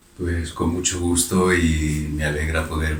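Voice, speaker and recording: Audible room echo and noticeable background noise accompany this recording. The man speaks with monotone, flat intonation. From Málaga, Spain. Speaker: pastor and physics teacher. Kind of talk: TV interview.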